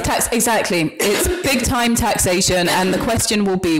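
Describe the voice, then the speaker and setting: A woman talks at a moderate pace. Background music can be heard behind her. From Britain, Ghanaian family. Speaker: writer and librarian. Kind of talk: interview answer.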